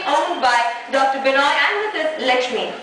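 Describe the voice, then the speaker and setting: A woman speaks in a raised, projected voice at a fairly quick pace over noticeable background noise. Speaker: TV show host / anchor. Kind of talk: TV home-tour presenter reading. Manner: upbeat, friendly, chatty.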